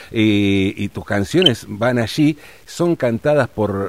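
Lively intonation in a man's voice of medium pitch. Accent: Rioplatense. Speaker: radio host. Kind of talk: radio interview.

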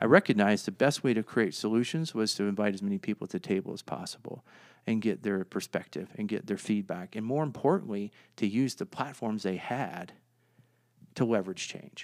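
On a very clean recording with a silent background, a man with an American accent talks at a fairly quick pace in an unremarkable speaking voice, his fairly low pitch showing ordinary variation. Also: dry, close sound with no echo. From US, Northern Virginia (DC suburbs). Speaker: nonprofit founder, former police officer. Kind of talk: interview.

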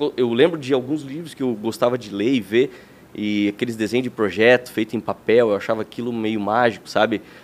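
A plain, everyday voice from a man, medium in pitch, at a fairly quick pace with fairly even intonation. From Santa Catarina, Brazil (Lages). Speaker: architect. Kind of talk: interview.

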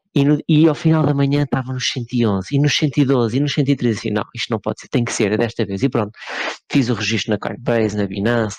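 With an ordinary speaking voice, a man talks at medium pitch with ordinary pitch variation. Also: dry, close sound with no echo. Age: 30s. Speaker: podcast co-host. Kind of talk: casual chat.

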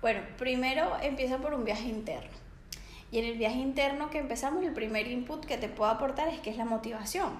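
Noticeable background noise and audible room echo fill this clip. A woman talks at a fairly quick pace in a high pitch with ordinary pitch variation. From Venezuela. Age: 20s. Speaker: psychologist and life coach. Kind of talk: interview.

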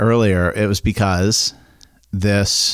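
A man with a plain, everyday voice speaks at a fairly low pitch in an American accent. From Maine, US (Midcoast). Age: 30s. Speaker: local business owner and school board member. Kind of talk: casual chat.

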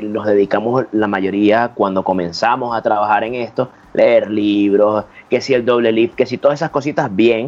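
His pitch rises and falls in an ordinary way. The man keeps to a moderate pace. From Venezuela. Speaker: magician and stand-up comedian. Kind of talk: casual chat.

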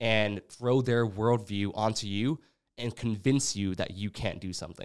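In a very clean recording with a silent background, a man with an unremarkable speaking voice speaks at a medium pitch and moderate pace with fairly even intonation. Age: 20s. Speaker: podcast host. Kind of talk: casual chat.

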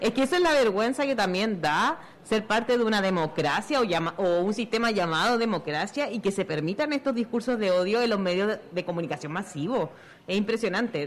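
An unremarkable speaking voice from a woman, medium in pitch, fairly quick and lively in intonation, with very even loudness. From Chile. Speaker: comic artist and activist. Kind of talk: live radio talk show. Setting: outdoors at a fair.

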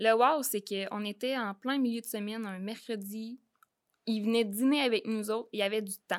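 A woman talks in a plain, everyday voice at a fairly high pitch and moderate pace. Her intonation is fairly even, and the recording is very clean with a silent background. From Quebec, Beauce region. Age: 20s. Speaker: real estate investor. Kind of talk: interview.

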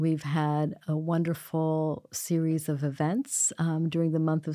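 Very deep and low, a woman's dark, mellow voice moves at a fairly slow pace with fairly even intonation in a very clean recording with a silent background. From international upbringing (Bangladeshi, Thailand, Middle East, India). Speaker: college administrator. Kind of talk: casual interview.

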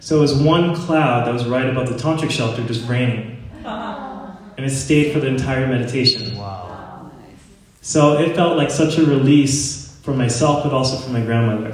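Noticeable background noise and audible room echo surround a man who speaks with an American accent and ordinary pitch variation. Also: medium pitch for a man, moderate pace. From US Northeast, Long Island, New York. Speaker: Kundalini yoga teacher. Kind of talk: yoga teacher training talk.

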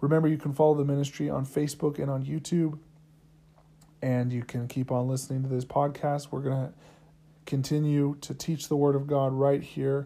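A man speaks with a dark, mellow tone at a fairly high pitch. His intonation stays monotone and flat. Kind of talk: sermon. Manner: earnest, teacherly preaching cadence with repeated phrases and call-and-response; fervent, emphatic, driving each point home by repetition.

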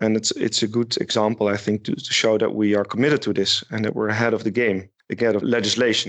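A man with a Dutch accent, fairly low pitch, monotone flat delivery and a very fast pace. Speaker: shipyard marketing manager. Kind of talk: interview. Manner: halting.

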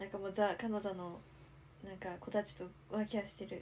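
Delivering her words at a fairly quick pace, a woman speaks in a monotone, flat intonation. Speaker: podcast co-host. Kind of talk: casual chat.

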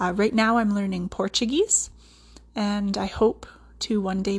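A woman speaks with a Canadian accent at medium pitch and a fairly slow pace, her intonation monotone and flat. Her voice is somewhat breathy over a quiet background. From central Alberta, Canada. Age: 30s. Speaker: podcast host, respiratory therapist and yoga teacher. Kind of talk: solo podcast monologue.

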